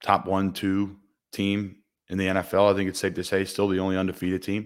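In a very clean recording with a silent background, a man with a very deep, low pitch speaks at a moderate pace. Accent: Philadelphia. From Philadelphia. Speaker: football player and podcast host. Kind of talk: casual sports talk show. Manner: conversational, upbeat.

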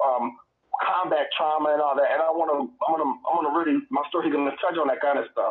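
A man's very fast delivery at very even loudness. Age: 30s. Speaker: military veteran and podcast co-host. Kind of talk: casual chat. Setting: in a car.

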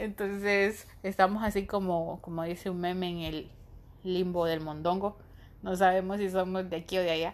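Her intonation monotone and flat, a woman talks at a moderate speed. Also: medium pitch for a woman. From Honduras. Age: 30s. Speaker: podcast host, medical student. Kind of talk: casual solo monologue.

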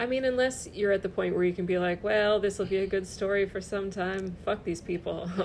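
Her voice is an unremarkable speaking voice, as a woman at a medium pitch talks at a fairly quick pace with fairly even intonation and hardly any pauses. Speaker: comedian. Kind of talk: casual chat.

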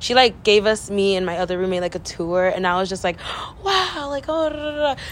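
A woman with an American accent and an unremarkable speaking voice, medium in pitch, at a moderate pace. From Central Valley, California (Delano). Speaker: college student podcast co-host. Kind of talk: casual chat.

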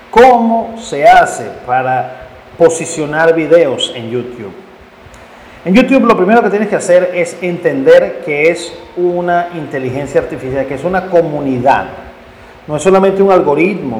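With lively intonation, a man speaks at a high pitch and a fairly slow pace. Noticeable background noise and audible room echo come through. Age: 50s. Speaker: podcast host and independent sports journalist. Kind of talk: solo podcast monologue with advice.

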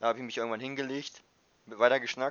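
This man speaks at a fairly quick pace. His intonation is monotone and flat. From northern Germany, Wildeshausen. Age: 20s. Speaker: university student. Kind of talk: casual chat.

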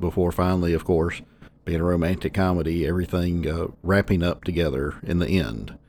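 Talking at a fairly quick pace, a man has a very deep, low pitch and a dark, mellow tone. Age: 40s. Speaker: film podcast host. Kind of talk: solo podcast monologue. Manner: casual with frequent fillers.

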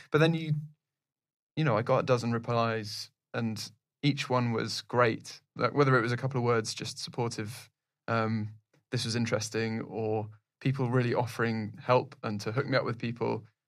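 A man's medium-pitched voice, fairly even in intonation, at a moderate pace with long, frequent pauses, in a very clean recording with a silent background. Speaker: podcast host. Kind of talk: casual interview.

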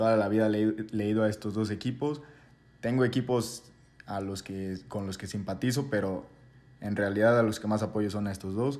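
With a normal speaking voice, a man at a fairly low pitch keeps a moderate pace and fairly even intonation. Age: 20s. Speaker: podcast co-host. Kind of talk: casual chat.

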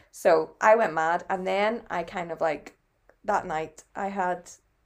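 A woman with a Northern Irish accent and a medium pitch, on a very clean recording with a silent background. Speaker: podcast co-host. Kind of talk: casual chat.

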